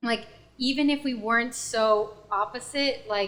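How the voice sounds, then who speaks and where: This woman talks with ordinary pitch variation. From US East Coast (DC and rural Pennsylvania). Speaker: podcast guest. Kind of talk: casual chat.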